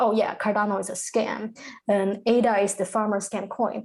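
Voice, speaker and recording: Dark and mellow in tone, a woman's voice moves at a moderate pace. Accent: Chinese. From China. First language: Chinese. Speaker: crypto content creator. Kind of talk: podcast interview.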